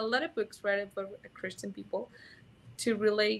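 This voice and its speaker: Speaking at a moderate pace, a woman with a Mexican accent has a fairly high pitch. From Mexico. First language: Spanish. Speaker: sex educator. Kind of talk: interview. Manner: halting.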